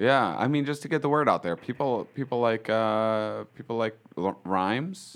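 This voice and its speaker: Speaking at a moderate pace with hardly any pauses, a man uses lively intonation at a medium pitch against a quiet background. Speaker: stand-up comedian. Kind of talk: comedic prank phone call. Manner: animated.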